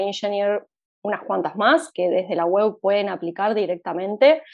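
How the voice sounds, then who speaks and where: A woman speaks at a moderate pace and medium pitch. Her pitch variation is ordinary. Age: 20s. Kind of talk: interview. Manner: hesitant, many fillers.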